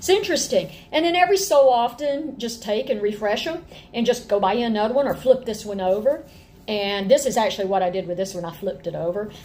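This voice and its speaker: Very fast, lively speech from a woman with an Appalachian accent and a fairly high pitch. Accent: Appalachian Southern US. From northwest Georgia, Appalachia. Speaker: homeschool teacher and mother. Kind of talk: lecture. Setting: at home, rain on tin roof. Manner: animated, chatty. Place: home room. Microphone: webcam.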